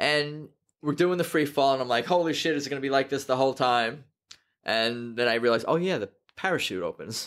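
Delivered at a very fast pace with long, frequent pauses, this American-accented voice shows ordinary pitch variation on a very clean recording with a silent background. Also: man, fairly high pitch for a man. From New York. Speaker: podcast host. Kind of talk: casual interview. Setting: studio.

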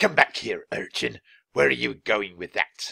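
Using a put-on character voice, a man talks at a moderate pace in a dry, close sound with no echo. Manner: yelling.

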